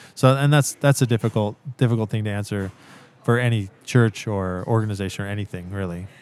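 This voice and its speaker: Speaking fairly quickly with a West Coast US accent, a man uses a fairly low pitch and ordinary pitch variation. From US Pacific Northwest, Central Oregon. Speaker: missionary. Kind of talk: casual interview. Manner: halting, many fillers.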